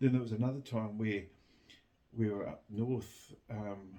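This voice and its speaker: Speaking with a New Zealand accent, a man uses a fairly low pitch and a dark, mellow tone, with fairly even intonation and a fairly slow pace. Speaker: vlogger. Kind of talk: casual chat. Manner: halting.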